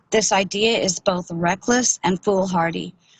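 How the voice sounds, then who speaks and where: At a fairly slow pace, a woman with an American accent speaks at a medium pitch, somewhat breathy, with fairly even intonation in a dry, close sound with no echo. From Oregon, US. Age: 60s. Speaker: member of the public giving testimony. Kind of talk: public testimony.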